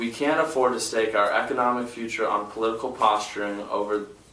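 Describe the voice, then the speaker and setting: Over noticeable background noise and audible room echo, a man at medium pitch speaks at a moderate pace with fairly even intonation. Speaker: student leader. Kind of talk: press conference statement. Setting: press conference. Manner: halting, with fillers.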